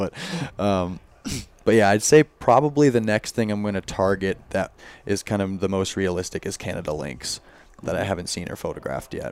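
A man talks with an American accent at a moderate pace. He has an ordinary speaking voice and a fairly low pitch. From Florida, Orlando. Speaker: wildlife photographer. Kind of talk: casual chat.

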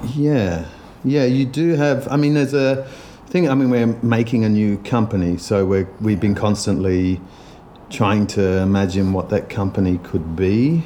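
In a plain, everyday voice, the speaker talks at a fairly slow pace with very even loudness and lively intonation. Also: man, fairly low pitch for a man. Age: 50s. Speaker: dancer and physical theatre maker. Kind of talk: casual interview. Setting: office after rehearsals.

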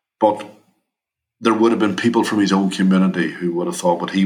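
A man speaks with a Northern Irish accent. His voice is very deep and low. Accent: Derry Northern Irish. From Derry, Northern Ireland. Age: 50s. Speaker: shooting survivor and charity founder. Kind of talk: casual interview.

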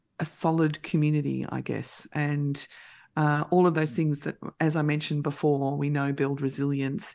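A woman with an Australian accent against a quiet background. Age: 50s. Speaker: mental health services manager. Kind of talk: radio interview.

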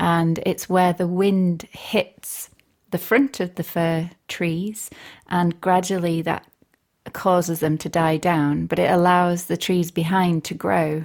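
A woman talks very slowly in a Yorkshire accent, her fairly low voice keeping fairly even intonation. The recording is very clean, with a silent background. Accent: broad Yorkshire. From Northern Ireland, raised in Barnsley, Yorkshire from age eight. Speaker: composer and radio presenter. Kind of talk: casual interview chat.

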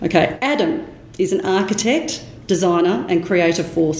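Noticeable background noise under a woman's fairly slow speech. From Australia. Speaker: podcast host. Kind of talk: interview. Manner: animated.

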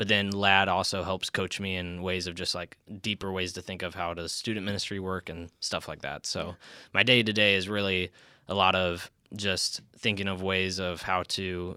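A man with a very deep, low voice and an American accent speaks at a moderate pace in a flat monotone. His tone is bright and sharp, and the recording is very clean with a silent background. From US Midwest, Iowa. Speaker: church ministry resident, student ministry. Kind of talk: casual interview.

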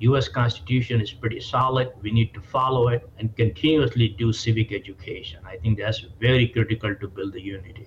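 Hardly pausing, a man talks at a fairly quick pace in a somewhat breathy, medium-pitched voice. His pitch shifts in an ordinary way. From India. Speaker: community organizer. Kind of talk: interview.

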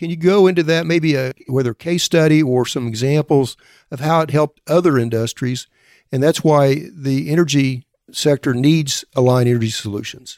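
With a dry, close sound with no echo, a man in a normal speaking voice talks at a moderate pace, his pitch fairly high and varying in an ordinary way. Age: 60s. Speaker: podcast host. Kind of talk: interview.

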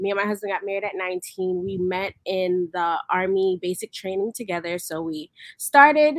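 Here a woman speaks at medium pitch. She keeps a moderate pace. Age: 20s. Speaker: army veteran changing careers. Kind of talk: interview. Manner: hesitant, many fillers.

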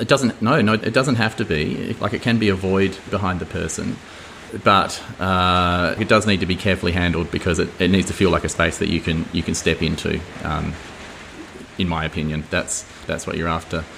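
A man's very deep, low voice with an Australian accent, ordinary pitch variation and a moderate pace, over noticeable background noise. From Australia, Adelaide Hills. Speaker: painter. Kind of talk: casual interview. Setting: artist's studio. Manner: hesitant, many fillers and repeats.

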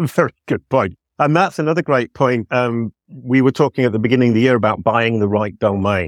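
There is lively intonation from a man speaking at a fairly quick pace, his loudness very even and the sound dry and close with no echo. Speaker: podcast host. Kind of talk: casual interview.

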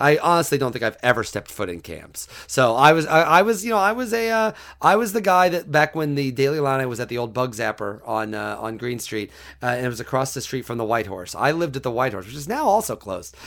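In an American accent, a man talks at a very fast pace. His medium pitch swings very widely. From US Midwest, central Illinois. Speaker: sports writer. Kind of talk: interview.

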